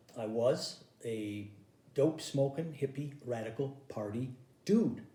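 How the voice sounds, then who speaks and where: Audible room echo surrounds a man speaking at a fairly slow pace, his medium pitch showing ordinary variation. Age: 60s. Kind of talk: stand-up. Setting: home recording.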